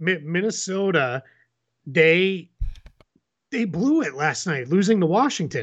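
An animated man with an American accent speaks in a high voice with lively intonation. He goes at a fairly slow pace, with long, frequent pauses. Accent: Boston accent, comes out when excited. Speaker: basketball podcast host. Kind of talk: casual sports chat.

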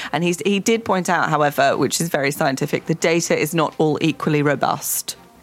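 With noticeable background noise, a woman speaks at a fairly low pitch.

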